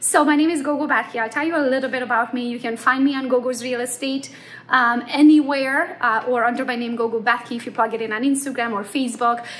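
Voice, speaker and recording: A woman with a Romanian accent talks very fast, with hardly any pauses. Her voice is high, with fairly even intonation. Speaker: real estate agent; presenter. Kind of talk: conference talk. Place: home room. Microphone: phone near.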